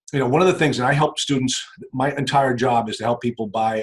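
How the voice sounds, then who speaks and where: The voice is somewhat breathy. It moves at a fairly quick pace. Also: man. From New England. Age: 50s. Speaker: real estate investor and attorney. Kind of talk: casual interview.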